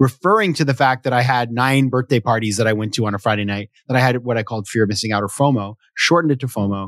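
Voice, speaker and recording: A man with an American accent talks at a very fast pace, his voice dry and close with no echo. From US Northeast, Sanford, Maine. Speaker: venture capitalist and author. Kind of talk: casual interview conversation.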